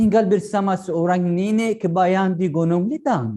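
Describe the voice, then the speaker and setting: His voice high in pitch yet dark and mellow in tone, a man talks with an Arabic accent. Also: quiet background. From Yemen. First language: Arabic (speaking Indonesian). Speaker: PhD student. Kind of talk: storytelling. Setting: online live event.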